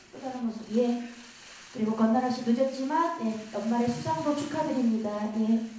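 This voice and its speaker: A high-pitched woman at a moderate pace, with noticeable background noise. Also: ordinary pitch variation. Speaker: event host. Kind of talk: press event emceeing. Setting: stage with audience.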